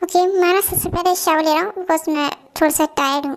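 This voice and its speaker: A woman uses a squeaky put-on character voice at an extremely high pitch. She talks at a very fast pace with fairly even intonation. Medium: audio drama. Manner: brisk, decisive.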